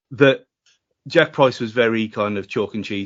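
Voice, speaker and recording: A man speaks in a medium pitch. His pitch varies in an ordinary way. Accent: strong Wolverhampton. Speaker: football podcaster. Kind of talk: casual chat. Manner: speaks fast.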